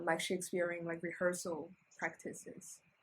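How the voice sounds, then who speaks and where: At a moderate pace, a woman with a Chinese accent talks in a fairly low pitch. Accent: reduced Chinese. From China, Shandong province. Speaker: PhD student. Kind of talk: casual interview conversation. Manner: halting, with many fillers and restarts.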